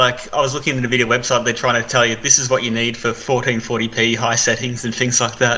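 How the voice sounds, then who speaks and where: A man with an Australian accent talks very fast at a medium pitch, flat and monotone, with hardly any pauses. Noticeable background noise runs underneath. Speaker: gaming news presenter. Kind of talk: casual chat.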